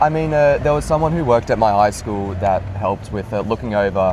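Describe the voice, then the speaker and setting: Over noticeable background noise, a man with an Australian accent speaks at a fairly quick pace with ordinary pitch variation. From Australia, Sydney. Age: 20s. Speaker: university student. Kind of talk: interview. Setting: in person, Sydney.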